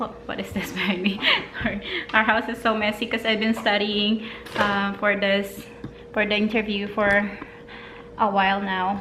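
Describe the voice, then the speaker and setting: A woman with a medium-pitched voice speaks at a moderate pace in a flat, monotone intonation, leaving long and frequent pauses. Noticeable background noise can be heard. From Philippines. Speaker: vlogger and mother. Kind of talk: casual talk to camera.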